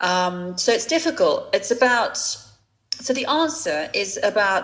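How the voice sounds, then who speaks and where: Very slowly, a woman speaks in a southern English accent. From England. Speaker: fashion entrepreneur. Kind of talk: interview. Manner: halting.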